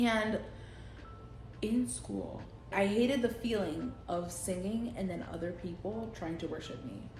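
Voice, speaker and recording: A woman speaks fairly slowly at a medium pitch, her intonation lively. Music plays in the background and the room echo is audible. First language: Spanish. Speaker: vlogger. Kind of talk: casual monologue vlog. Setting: at home on couch. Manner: animated.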